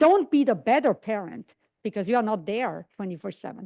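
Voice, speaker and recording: Against a quiet background, with a dry, close sound and no echo, a woman with a non-native accent speaks at a fairly high pitch, a moderate pace, and lively intonation. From outside English-speaking world. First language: not English. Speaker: psychiatry lecturer. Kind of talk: lecture.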